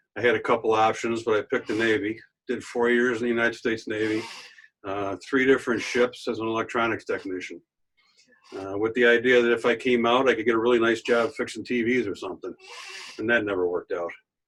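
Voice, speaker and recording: A man with an American accent speaks at a very fast pace. His intonation is monotone and flat. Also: medium pitch for a man. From Western New York, Buffalo area. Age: 60s. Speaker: retired state trooper. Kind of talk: panel discussion, personal testimony. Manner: halting, many fillers.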